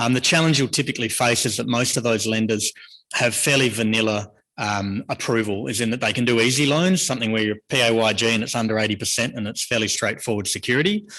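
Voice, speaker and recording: A man with an Australian accent talks at a very fast pace in a bright, sharp tone. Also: medium pitch for a man, ordinary pitch variation. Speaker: mortgage broker. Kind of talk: presentation talk. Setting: stage with audience.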